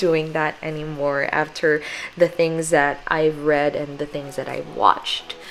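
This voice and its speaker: Through noticeable background noise, a woman with a Filipino accent speaks at a fairly slow pace in a very deep, low pitch. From Philippines. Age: 20s. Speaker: lifestyle vlogger. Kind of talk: casual voiceover chat.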